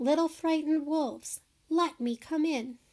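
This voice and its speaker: A woman puts on a character voice. It is squeaky and high in pitch. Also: moderate pace. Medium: read story. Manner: grunting, menacing.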